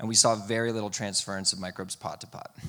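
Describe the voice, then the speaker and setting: A man speaks loudly in a fairly low pitch, with a bright, sharp tone. His intonation is fairly even, and the recording is very clean with a silent background. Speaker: irrigation company team member, former soil research lab worker. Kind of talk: conference presentation Q&A answer.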